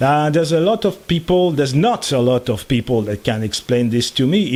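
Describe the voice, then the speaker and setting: Speaking at a moderate pace with lively intonation, a man with a medium-pitched voice talks in a French accent. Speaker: electronics hobbyist YouTuber. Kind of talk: tutorial. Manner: halting, many fillers.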